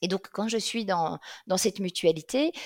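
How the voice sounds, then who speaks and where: A woman with a slight Belgian accent speaks at a medium pitch with ordinary pitch variation, recorded with a dry, close sound and no echo. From Belgium, Liège region. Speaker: career coach. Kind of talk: interview. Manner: hesitant with fillers.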